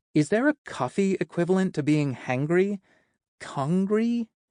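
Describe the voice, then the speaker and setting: A man puts on a character voice at a high pitch, speaking at a moderate pace. The background is quiet, and the sound is dry and close with no echo. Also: lively intonation. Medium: read story. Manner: rambling, playful.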